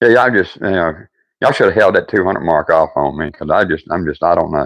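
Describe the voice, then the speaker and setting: With a strong Southern US accent, a man talks in a very deep, low pitch and lively intonation over a quiet background. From US South. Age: old. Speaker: woodworking live streamer. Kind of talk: casual live stream chat. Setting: workshop. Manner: halting, repetitive.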